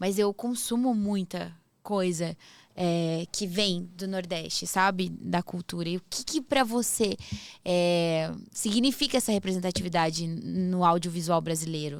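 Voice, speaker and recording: Over a very clean recording with a silent background, a woman with an ordinary speaking voice talks fairly slowly at a fairly low pitch, with ordinary pitch variation. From southern Brazil. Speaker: podcast host. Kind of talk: podcast interview.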